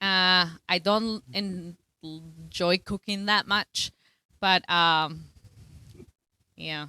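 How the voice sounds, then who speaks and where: A woman with a Spanish accent talks at a very slow pace with long, frequent pauses, her pitch medium and her intonation fairly even. Her tone is bright and sharp, on a very clean recording with a silent background. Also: dry, close sound with no echo. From Colombia. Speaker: teacher. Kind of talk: casual chat.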